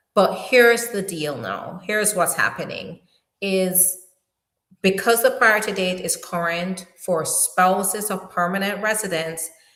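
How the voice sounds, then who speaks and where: Speaking at a fairly slow pace in a strong Jamaican accent, a woman with a medium pitch sounds animated, with ordinary pitch variation. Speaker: immigration attorney. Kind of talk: live stream Q&A. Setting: live stream.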